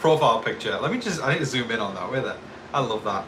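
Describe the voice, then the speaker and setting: With a northeast English accent, a man speaks in an animated tone with very wide pitch swings, amid noticeable background noise and audible room echo. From northeast England. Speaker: YouTube TV show commentator. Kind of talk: live stream chat. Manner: casual, animated.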